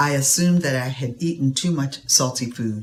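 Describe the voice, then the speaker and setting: A woman with very deep, low pitch and a somewhat breathy voice talks at a moderate pace with lively intonation. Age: 60s. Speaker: patient. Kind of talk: testimony. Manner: reading from a prepared statement.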